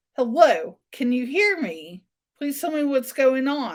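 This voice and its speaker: A woman in a loud, high-pitched put-on character voice, fairly slow, with very wide pitch swings. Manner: loud, projecting.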